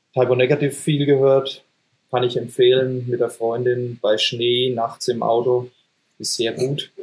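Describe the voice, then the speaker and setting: With a monotone, flat intonation and a somewhat breathy quality, a man speaks at a fairly slow pace and medium pitch. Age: 40s. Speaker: metal band singer and guitarist. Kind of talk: casual chat.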